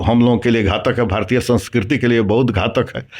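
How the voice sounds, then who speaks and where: With monotone, flat intonation, the man delivers his lines at a medium pitch. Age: 70s. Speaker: retired village head. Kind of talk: interview. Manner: halting.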